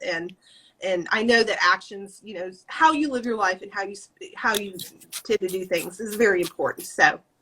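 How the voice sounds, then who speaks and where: This woman talks at a moderate pace, her medium pitch moving with ordinary variation while her loudness swings widely. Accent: Southern US. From Alabama and South Louisiana. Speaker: podcast host and author. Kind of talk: interview.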